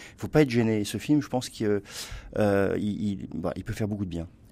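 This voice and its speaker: A man's dark, mellow tone with lively intonation, on a very clean recording with a silent background. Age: 50s. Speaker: writer and culture columnist. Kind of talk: casual chat. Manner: hesitant.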